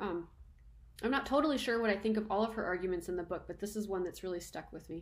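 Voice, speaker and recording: Speech comes at a very fast pace over noticeable background noise. Audible room echo fills the recording. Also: woman, medium pitch for a woman, ordinary pitch variation. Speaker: university lecturer. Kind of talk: lecture. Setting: recording at home. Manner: casual, conversational.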